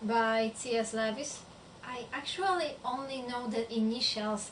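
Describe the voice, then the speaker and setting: Speaking with a non-native accent, a woman uses a fairly high pitch at a fairly slow pace. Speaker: book vlogger. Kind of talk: casual talk to camera.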